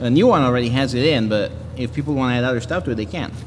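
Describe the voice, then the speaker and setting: A man with a medium pitch speaks at a very fast pace, with noticeable background noise and audible room echo. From Italy. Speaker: engineer and maker. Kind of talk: lightning talk with Q&A. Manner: halting, many restarts.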